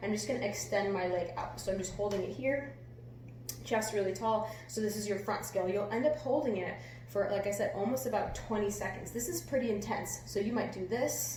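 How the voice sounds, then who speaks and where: A woman at medium pitch swings very widely in pitch. Audible room echo and noticeable background noise surround her voice. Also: fairly quick pace. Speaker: fitness coach. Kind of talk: workout tutorial. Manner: quiet, near whisper.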